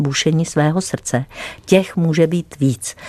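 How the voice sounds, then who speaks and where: The woman's pitch is very deep and low. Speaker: doctor and health show expert. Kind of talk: radio health advice chat. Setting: radio studio.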